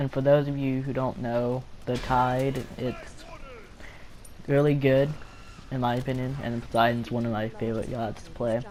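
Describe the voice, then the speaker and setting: A man at a medium pitch and moderate pace, monotone and flat, with long, frequent pauses and noticeable background noise. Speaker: gamer. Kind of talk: video game commentary.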